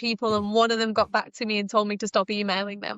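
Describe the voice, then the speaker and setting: Speaking in a British accent, a woman keeps up a fairly quick pace. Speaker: entrepreneur and business mentor. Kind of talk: interview podcast. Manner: engaging, uplifting.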